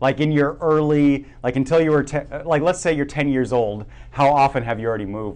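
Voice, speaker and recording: A man speaks at a fairly quick pace with fairly high pitch in a normal speaking voice. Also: ordinary pitch variation. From Germany and Oregon. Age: 30s. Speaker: podcast host. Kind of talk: casual interview chat.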